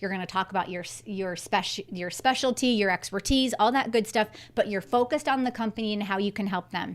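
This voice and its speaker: An animated tone at a very fast pace, on a very clean recording with a silent background. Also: woman, medium pitch for a woman, ordinary pitch variation. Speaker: career coach and professor. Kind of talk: live stream Q&A tutorial. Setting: live stream.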